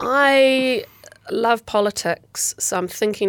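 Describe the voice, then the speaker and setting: Heard in a dry, close sound with no echo, a woman with a New Zealand accent talks in a bright, sharp tone with lively intonation. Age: 40s. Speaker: former rugby player and sports executive. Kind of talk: interview. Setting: studio.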